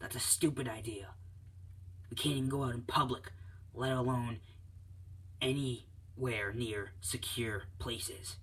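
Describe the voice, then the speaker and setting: This is a put-on character voice at a moderate pace. Long pauses come often. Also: man, medium pitch for a man. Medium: read story. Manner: curt, dismissive.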